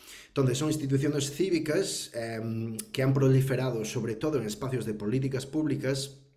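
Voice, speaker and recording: A man's medium-pitched, somewhat breathy voice with a dark, mellow tone, ordinary pitch variation, hardly any pauses, and audible room echo. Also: moderate pace. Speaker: professor. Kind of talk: webinar talk. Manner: hesitant, many fillers.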